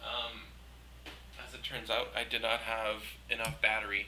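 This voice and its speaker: A man's voice over noticeable background noise. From Quebec. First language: French. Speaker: artist streamer. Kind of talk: casual live stream chat while painting. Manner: switches between French and English.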